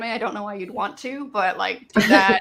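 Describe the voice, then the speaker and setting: With a slight Canadian accent, this voice has a bright, sharp tone and ordinary pitch variation. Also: woman. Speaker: maker, project creator. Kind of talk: interview. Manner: halting, many fillers.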